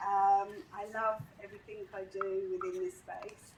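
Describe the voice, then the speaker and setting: Amid audible room echo, a woman with a fairly high pitch speaks at a very slow pace with lively intonation. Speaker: global mobility executive. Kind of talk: panel discussion. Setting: stage with audience.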